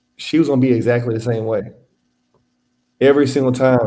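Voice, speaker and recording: A man with an American accent speaks at medium pitch in a dark, mellow tone. His intonation is fairly even, with audible room echo. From Louisiana and Texas. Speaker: independent insurance adjuster. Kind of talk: casual interview. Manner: casual, relaxed.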